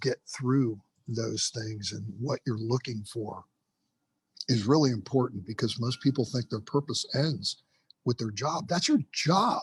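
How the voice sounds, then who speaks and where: A somewhat breathy man speaks at a moderate pace in a medium pitch with ordinary pitch variation, the sound dry and close with no echo. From US, Cuban immigrant family. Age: 60s. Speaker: retired firefighter and rehab counselor. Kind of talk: podcast interview. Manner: halting, repeats words.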